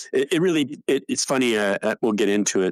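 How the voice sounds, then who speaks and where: In a Canadian accent, a man speaks at a moderate pace on a very clean recording with a silent background and a dry, close sound with no echo. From Canada, Ontario. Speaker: retired fighter and test pilot. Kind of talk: podcast interview. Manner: halting, with frequent fillers.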